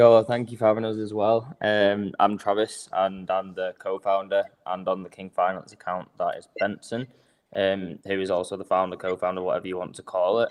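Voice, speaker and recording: A man with an English accent speaks at a moderate pace and with fairly even intonation. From Manchester, northern England. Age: 20s. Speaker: crypto project co-founder. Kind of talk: livestream interview.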